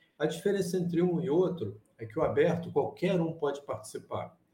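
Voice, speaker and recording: With a dark, mellow tone and vocal fry, a man talks at a moderate pace. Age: 60s. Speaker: chess problem solver. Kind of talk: interview. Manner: halting.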